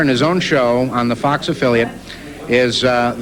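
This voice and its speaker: Noticeable noise fills the background while a man speaks at a moderate speed. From United States. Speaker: voice actor, impressionist. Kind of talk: interview answer.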